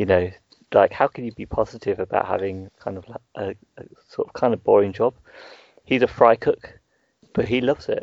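Speaking with an English Midlands accent, a man moves at a fairly quick pace. His loudness swings widely, and he makes long, frequent pauses. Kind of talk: casual chat podcast.

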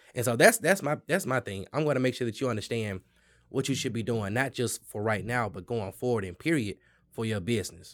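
In an ordinary speaking voice, a man talks at a fairly quick pace with medium pitch and lively intonation, on a very clean recording with a silent background. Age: young. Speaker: small business lender, former banker. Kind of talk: casual interview. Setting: in person at a local venue.

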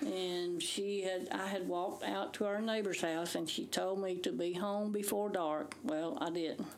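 A woman with a Southern US accent speaks at a medium pitch and moderate pace, with ordinary pitch variation, hardly any pauses and very even loudness. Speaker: retired teacher, host's mother. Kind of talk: casual chat.

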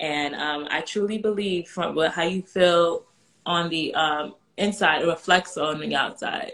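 Fairly low in pitch, a woman with an unremarkable speaking voice and an American accent speaks at a fairly slow pace. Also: fairly even intonation. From New York. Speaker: personal stylist for moms. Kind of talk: casual chat.

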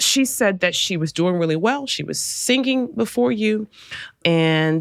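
With an American accent, a woman has an unremarkable speaking voice at a fairly low pitch, talking at a fairly slow pace with lively intonation. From Arkansas, US South. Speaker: college president and podcast host. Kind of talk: interview conversation.

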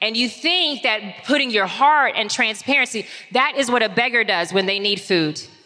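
A woman's fairly high voice with lively intonation, very even loudness and noticeable background noise. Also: moderate pace. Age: 40s. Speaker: reinvention strategist and author. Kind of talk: live talk before an audience. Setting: live event with audience.

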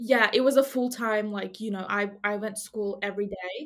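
A woman in a normal speaking voice talks at a moderate pace, her medium pitch carried by fairly even intonation. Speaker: medical student. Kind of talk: casual chat.

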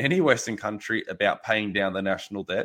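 At a moderate pace, a man with an Australian accent talks using lively intonation. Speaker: farmer and butcher. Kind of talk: casual interview. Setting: video call.

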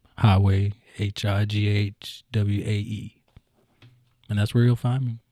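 A man speaks at a fairly slow pace in a somewhat breathy, monotone voice with flat intonation, the sound dry and close with no echo on a very clean recording over a silent background. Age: 30s. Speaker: musician. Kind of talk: casual chat.

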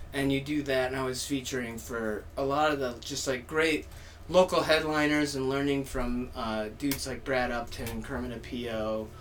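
A man at a moderate pace with fairly even intonation, amid audible room echo. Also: medium pitch for a man. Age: 30s. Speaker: stand-up comedian. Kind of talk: casual chat.

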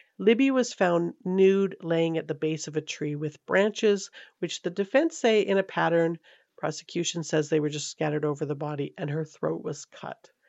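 With a Canadian accent, a woman uses an ordinary speaking voice at a fairly low pitch, a moderate pace and ordinary pitch variation. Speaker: true crime podcast host. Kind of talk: true crime storytelling. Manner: casual, conversational.

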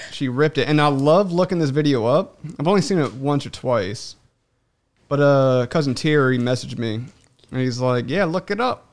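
An unremarkable speaking voice, fairly high-pitched, belongs to a man who talks at a moderate pace with ordinary pitch variation. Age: 20s. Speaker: podcast host. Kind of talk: casual chat.

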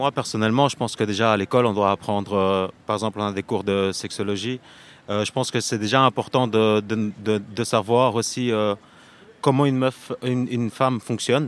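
A man with a plain, everyday voice, fairly low in pitch, moderate in pace, with fairly even intonation. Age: 30s. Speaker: morality teacher interviewed in street vox pop. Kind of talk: street interview.

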